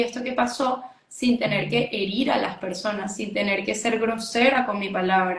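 The speech runs at a moderate pace with fairly even intonation, and audible room echo surrounds it. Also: woman. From Venezuela. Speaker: essential oils entrepreneur. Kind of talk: interview.

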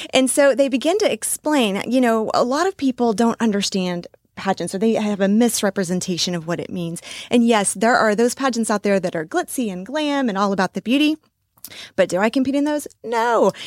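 Heard in a very clean recording with a silent background and a dry, close sound with no echo, a woman with an American accent has an ordinary speaking voice, a fairly high pitch, lively intonation and a fairly quick pace. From Texas. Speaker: pageant titleholder and life coach. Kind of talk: interview. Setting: studio.

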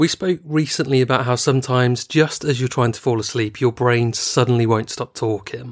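A plain, everyday voice from a man, medium in pitch, fairly quick and fairly even in intonation, with hardly any pauses, in a very clean recording with a silent background. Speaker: true crime podcast host. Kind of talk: casual chat.

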